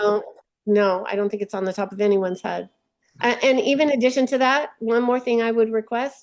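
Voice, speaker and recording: Over a quiet background, a woman speaks at a fairly quick pace. Her pitch is fairly high, with ordinary variation. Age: 60s. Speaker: retiree caller, part-time teacher. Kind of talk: question at a webinar town hall. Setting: webinar call. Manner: hesitant, many fillers.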